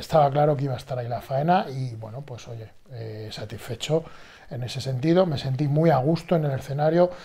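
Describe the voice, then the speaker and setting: A somewhat breathy man speaks at a fairly quick pace with a dark, mellow tone. His pitch is fairly high with ordinary variation, and his loudness swings widely. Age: 40s. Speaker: bodybuilder and fitness youtuber. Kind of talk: casual vlog monologue. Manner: animated.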